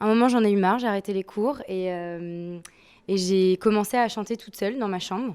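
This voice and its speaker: At a fairly quick pace, a woman with an unremarkable speaking voice talks at medium pitch with ordinary pitch variation and big swings in loudness, on a very clean recording with a silent background. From France, Nantes. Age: 20s. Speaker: soul-folk singer. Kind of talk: interview.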